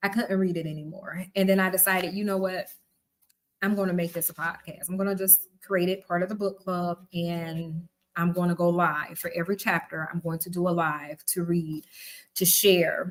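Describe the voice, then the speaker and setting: In a Southern US accent, a woman speaks at a moderate pace. Her pitch is fairly low and her intonation monotone and flat. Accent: Southern twang. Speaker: book club host. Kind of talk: live stream reading and commentary. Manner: casual, conversational.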